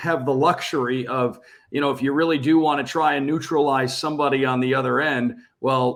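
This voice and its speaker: This man has an unremarkable speaking voice with a fairly high pitch. He talks at a moderate pace with fairly even intonation. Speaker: hockey radio play-by-play announcer. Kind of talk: sports podcast interview answer.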